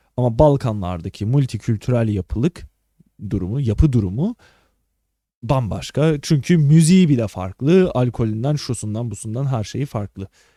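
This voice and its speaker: This man's medium-pitched voice has a dark, mellow tone and lively intonation at a moderate pace. The recording is very clean with a silent background and sounds dry and close, with no echo. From Balkan-rooted family, Turkey. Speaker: podcast host and streamer. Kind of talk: casual solo livestream chat. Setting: live stream recording. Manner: casual, filler-heavy.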